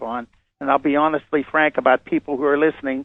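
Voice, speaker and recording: The voice runs at a very fast pace with monotone, flat intonation. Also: man. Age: 70s. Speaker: former space program scientist, guest on a radio show. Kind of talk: interview.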